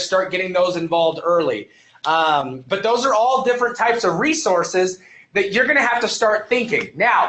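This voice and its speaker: This man speaks loudly. He talks at a fairly quick pace. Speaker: EMS instructor. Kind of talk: online lecture to live class. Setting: live webinar at computer. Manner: fast.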